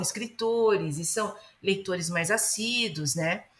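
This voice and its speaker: The tone is bright and sharp, and the pitch swings very widely. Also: woman. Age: 30s. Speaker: novelist. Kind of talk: interview.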